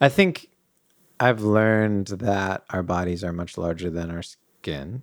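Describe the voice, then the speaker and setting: Very slow and very deep, a man's low voice with an American accent shows ordinary pitch variation and big swings in loudness. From New England, US. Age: 30s. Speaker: artist and entrepreneur, host's partner. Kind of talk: casual chat.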